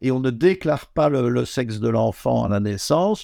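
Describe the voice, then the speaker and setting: Lively intonation marks this man's speech. His tone is dark and mellow. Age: old. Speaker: neuroendocrinologist, retired professor. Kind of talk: interview. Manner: halting, repeats words.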